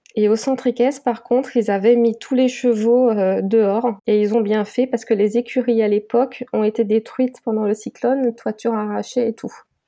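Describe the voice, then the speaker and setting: At a moderate pace, a woman speaks in a fairly high pitch with a dark, mellow tone and monotone, flat intonation. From Guadeloupe. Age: 20s. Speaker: graphic designer and mounted gendarmerie reservist. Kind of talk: interview.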